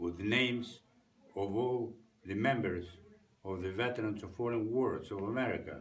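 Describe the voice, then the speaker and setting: A somewhat breathy man with a Greek accent, fairly low pitch, ordinary pitch variation and fairly slow pace, amid audible room echo. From Greece. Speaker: war veteran. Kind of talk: interview testimony. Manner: halting, many fillers.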